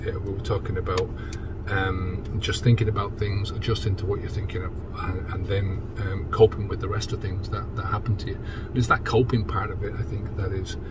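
A man speaks fairly quickly while loud background noise plays. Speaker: sobriety coach. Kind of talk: casual vlog chat. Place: car. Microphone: phone near.

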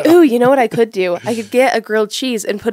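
A woman races along at a very fast pace in a playful tone, with ordinary pitch variation. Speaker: podcast co-host. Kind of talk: casual talk to camera. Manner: laughing, playful. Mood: playful, joking, laughing. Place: studio. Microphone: studio mic.

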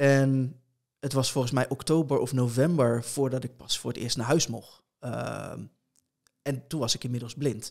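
Over a quiet background, a man speaks at a medium pitch and a moderate pace. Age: 30s. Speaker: blind competitive gamer and streamer; blind competitive gamer, streamer. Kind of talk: interview conversation. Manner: hesitant, many filler sounds. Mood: calm, reflective storytelling. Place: home room. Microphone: studio mic.

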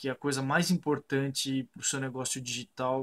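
This is a man speaking. His pitch is fairly high. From Brazil, Sorocaba (São Paulo state). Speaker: architect and online course student. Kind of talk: customer testimonial. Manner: hesitant, with fillers and repeated words. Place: home room. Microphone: webcam.

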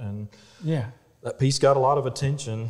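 With ordinary pitch variation, this man delivers his words at a fairly quick pace. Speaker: guest. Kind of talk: interview answer. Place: workshop.

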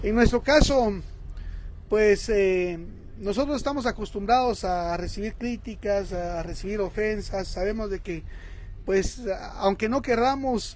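At a fairly slow pace with ordinary pitch variation, the voice has a dry sound with no echo over light background noise. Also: man, high pitch for a man. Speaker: shop host running a live stream. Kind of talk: casual live-stream talk to viewers. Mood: warm, appealing. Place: shop.

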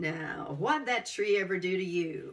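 In a put-on character voice, the speaker drawls at a fairly slow pace with a middle pitch. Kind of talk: casual, wry. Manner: lazy and drawling.

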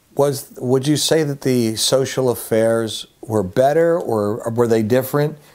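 Over a quiet background, a man with an American accent speaks at a fairly slow pace with ordinary pitch variation and hardly any pauses. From Upper Darby, Pennsylvania. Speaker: interviewer. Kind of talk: casual interview. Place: home room. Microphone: lapel.

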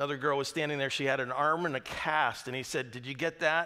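A man is speaking. His pace is fairly quick and his intonation fairly even. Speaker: pastor. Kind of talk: sermon. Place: church.

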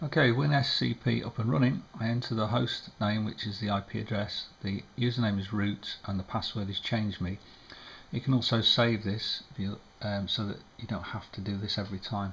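Mumbling and somewhat breathy, a man speaks at a moderate pace and fairly low pitch with fairly even intonation over light background noise. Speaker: amateur radio operator. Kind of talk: screen-recorded tutorial narration. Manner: hesitant, mumbling. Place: home room.

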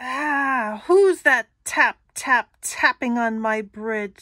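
In a put-on character voice, a woman speaks very slowly at a high pitch. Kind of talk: picture book read-aloud. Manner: menacing, greedy, blustering.

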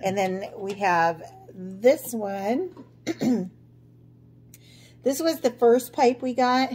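Over light background noise, a woman speaks very slowly in a dark, mellow tone. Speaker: vlogger. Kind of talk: casual vlog chat. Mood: relaxed, cheerful. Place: kitchen. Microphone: phone near.

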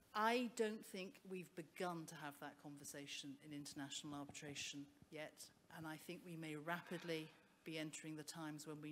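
A woman with a very deep, low pitch talks at a moderate pace with ordinary pitch variation over light background noise. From Wales. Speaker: barrister and arbitrator; panelist. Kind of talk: panel discussion. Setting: stage with audience. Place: stage.

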